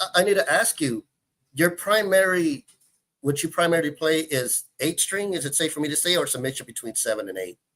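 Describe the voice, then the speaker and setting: Here is a man with an ordinary speaking voice, a fairly high pitch and an American accent. He moves at a fairly quick pace with lively intonation. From Texas, Houston. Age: 40s. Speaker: guitarist. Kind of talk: casual chat.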